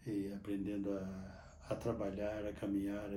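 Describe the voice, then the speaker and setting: In a room with audible echo, a man speaks at a very slow pace in a fairly low pitch with monotone, flat intonation. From Minas Gerais, Brazil (Botelhos). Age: 80s+. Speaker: Capuchin friar and priest. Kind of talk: interview testimony. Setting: sanctuary church. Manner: halting, with repetitions.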